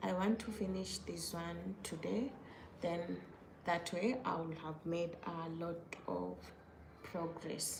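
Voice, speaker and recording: A woman speaks at a very slow pace with long, frequent pauses, amid audible room echo and noticeable background noise. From Kenya. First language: not English. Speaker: crochet maker and content creator. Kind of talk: casual livestream chat. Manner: casual, with hesitations and self-corrections.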